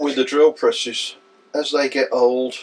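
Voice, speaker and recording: At a fairly slow pace, a man is talking. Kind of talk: tutorial. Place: workshop.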